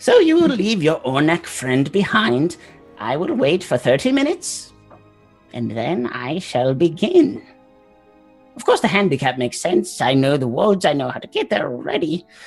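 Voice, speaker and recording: A man puts on a character voice, pitched high, at a moderate pace. Faint music plays in the background. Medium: actual play. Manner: impatient, griping.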